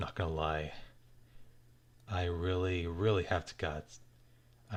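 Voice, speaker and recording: A man speaks in a very deep, low pitch that sounds somewhat breathy. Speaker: animator livestreaming art work. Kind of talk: casual livestream chat while drawing. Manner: halting, many fillers.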